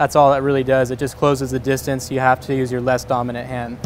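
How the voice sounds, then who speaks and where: Light background noise is present. A man speaks with monotone, flat intonation. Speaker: welding instructor. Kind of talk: tutorial. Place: workshop.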